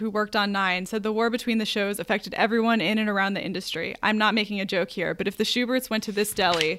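The text is given plain reading aloud, its intonation fairly even.

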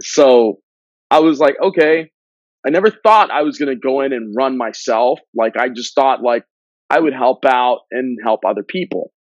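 A man with a normal speaking voice talks at a moderate pace and a medium pitch, with lively intonation. The sound is dry and close, with no echo. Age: 30s. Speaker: political candidate. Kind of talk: casual interview chat.

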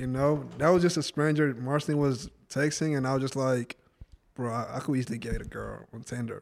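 A man with a normal speaking voice talks at a fairly quick pace and medium pitch, his intonation fairly even, on a very clean recording with a silent background. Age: 20s. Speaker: guest. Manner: talks over others, defensive, casual.

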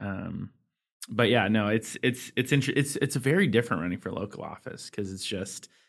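A man speaks at a fairly quick pace in an ordinary speaking voice with fairly low pitch, captured in a very clean recording with a silent background. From California, Sacramento County. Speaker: state legislator and podcast host. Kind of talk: casual political podcast chat.

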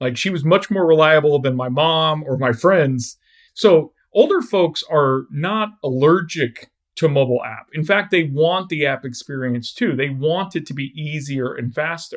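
A man with a normal speaking voice talks at a moderate pace, his pitch fairly high with ordinary variation. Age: 40s. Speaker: app developer and startup co-founder. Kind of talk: podcast interview.

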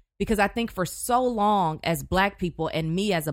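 A woman with an unremarkable speaking voice talks at a moderate pace with ordinary pitch variation. The recording is very clean, with a silent background. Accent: American. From Houston, Texas. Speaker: journalist and news anchor. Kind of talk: casual interview.

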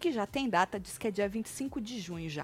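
Speaking at a moderate pace, a woman uses a normal speaking voice, fairly high in pitch, with lively intonation. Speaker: gossip YouTuber. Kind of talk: casual chat; reading aloud. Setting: live stream.

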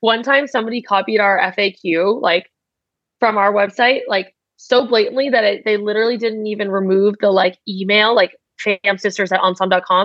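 A woman with an American accent at a medium pitch, fairly even intonation, a moderate pace and very even loudness. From United States (Vietnamese American family). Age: 20s. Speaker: startup founder and CEO. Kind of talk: interview.

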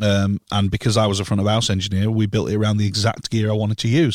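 Very fast speech from a man with a Yorkshire accent, fairly low in pitch, with fairly even intonation. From northern England, York. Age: 30s. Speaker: live sound engineer. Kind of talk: casual chat.

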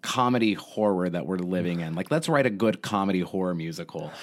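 A man has an unremarkable speaking voice with an American accent, ordinary pitch variation and a moderate pace. The recording is very clean, with a silent background. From Texas (Houston). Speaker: theater artistic director, actor-musician. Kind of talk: casual interview.

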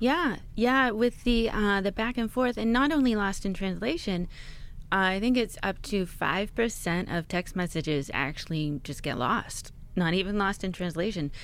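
A woman with an American accent has an ordinary speaking voice, a medium pitch and lively intonation. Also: moderate pace. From Pittsburgh, Pennsylvania. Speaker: author and filmmaker. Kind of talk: casual interview.

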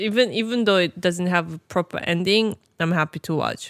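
A woman speaks at a moderate pace in a plain, everyday voice, fairly low with ordinary pitch variation. The sound is dry and close, with no echo. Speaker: podcast co-host. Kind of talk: casual chat. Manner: laughs often.

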